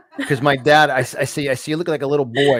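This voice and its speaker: A man with a New York accent speaks at a fairly high pitch over noticeable background noise. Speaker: podcast host. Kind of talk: interview. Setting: live show. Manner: fast; stammering, repeats words.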